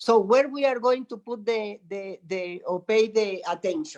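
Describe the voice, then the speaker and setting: A Spanish accent at a fairly slow pace. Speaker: spiritual teacher, meditation center guardian. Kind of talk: conversational interview.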